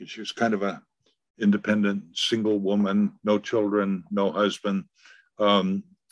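Over a quiet background, a man with a fairly low pitch talks at a moderate pace in a monotone, flat voice. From Vermont. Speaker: author and folklorist. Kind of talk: interview answer. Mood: relaxed reminiscing. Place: home room. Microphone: webcam.

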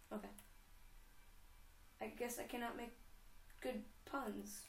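With vocal fry and fairly even intonation, a woman speaks at a fairly slow pace amid audible room echo.

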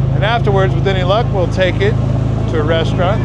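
A man's dry sound with no echo over loud background noise. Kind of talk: casual vlog chat. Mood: cheerful, enthusiastic. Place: boat. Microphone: phone near.

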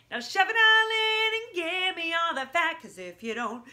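Here a woman talks. She uses a raised, projected voice. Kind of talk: comic song performance. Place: home room. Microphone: phone near.

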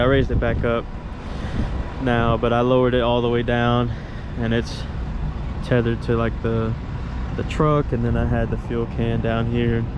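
Noticeable background noise sits behind a man talking at a moderate pace. His sound is dry, with no echo. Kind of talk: casual vlog chat. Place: open country. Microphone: phone near.

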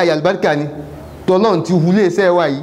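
A man talking at a moderate pace. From Nigeria, Yoruba-speaking southwest. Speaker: Islamic preacher. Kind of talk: sermon. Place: studio.

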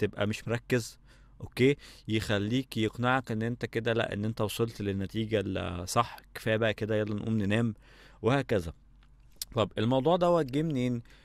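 Recorded with a dry sound with no echo and a quiet background, a man speaks at medium pitch with ordinary pitch variation. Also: moderate pace. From Egypt. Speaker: audio engineering instructor. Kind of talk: lecture. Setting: studio. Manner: casual. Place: home room. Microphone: studio mic.

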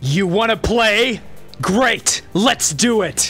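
Over clear background music, a man does a put-on character voice, high in pitch and at a very slow pace. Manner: challenging, enthusiastic.

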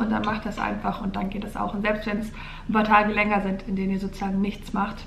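A woman talks at a very fast pace with fairly high pitch. Audible room echo and light background noise surround her. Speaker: vlogger. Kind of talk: casual vlog talk to camera. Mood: calm, encouraging. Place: home room. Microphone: camera far.

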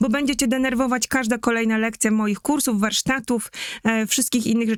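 In a very clean recording with a silent background, a woman speaks in an unremarkable speaking voice. Her fairly high pitch stays fairly even, and the sound is dry and close with no echo. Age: 40s. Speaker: market researcher and brand strategist. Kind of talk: live-stream talk.

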